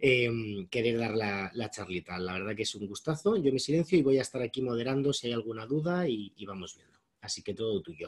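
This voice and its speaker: A man with an unremarkable speaking voice talks at a fairly quick pace and medium pitch, with hardly any pauses. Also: lively intonation. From Spain. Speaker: moderator. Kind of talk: introduction of a speaker. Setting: video call.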